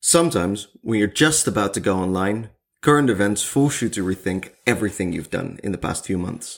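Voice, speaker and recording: A man speaks with a Dutch accent at a fairly low pitch. His intonation is lively. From Netherlands, Zwolle. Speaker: podcast co-host. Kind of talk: casual chat; scripted narration.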